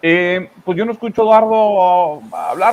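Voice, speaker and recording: A man speaks with a strong Monterrey accent. His voice sits high in pitch. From northern Mexico, Monterrey. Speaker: news commentary host. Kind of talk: political commentary chat. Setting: live stream.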